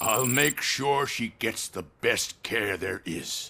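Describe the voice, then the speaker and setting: A man does a growling, put-on character voice at medium pitch, very slow but with lively intonation. The recording is very clean with a silent background. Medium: video game. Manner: smooth, courteous, veiled.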